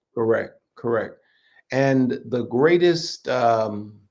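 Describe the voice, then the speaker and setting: A man with a medium pitch talks fairly slowly, his pitch varying in an ordinary way. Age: 60s. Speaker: bishop. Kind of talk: podcast interview.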